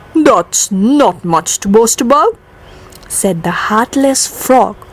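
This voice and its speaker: Over noticeable background noise, a woman talks at a very slow pace, her pitch swinging very widely. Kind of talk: poetry reading.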